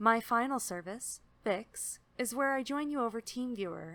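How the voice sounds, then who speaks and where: A woman with a plain, everyday voice speaks at a moderate pace and a fairly high pitch, with lively intonation. The recording is very clean, with a silent background. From Canada. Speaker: remote tech support provider. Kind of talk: service advertisement read.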